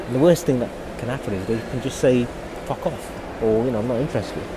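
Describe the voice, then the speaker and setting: A man with a British accent speaks at medium pitch. Audible room echo and noticeable background noise surround him. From UK. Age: 30s. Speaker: podcast host. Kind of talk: solo monologue. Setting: airport.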